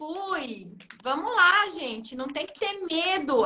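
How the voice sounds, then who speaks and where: A woman speaking at a fairly slow pace. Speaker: live stream host. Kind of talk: live stream interview. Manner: animated.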